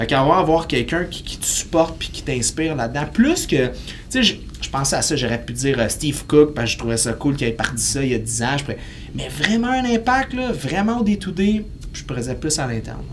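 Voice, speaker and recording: A man speaks at a fairly quick pace in a Quebec accent. Noticeable background noise sits behind him. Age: 30s. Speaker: kinesiologist and fitness entrepreneur; podcast guest. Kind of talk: casual interview. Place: studio.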